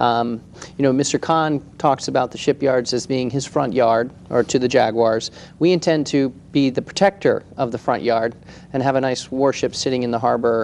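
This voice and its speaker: A man talks at a moderate pace in a normal speaking voice. His pitch is medium and his intonation fairly even. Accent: American. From Washington, D.C. area. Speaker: museum project leader. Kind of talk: TV interview.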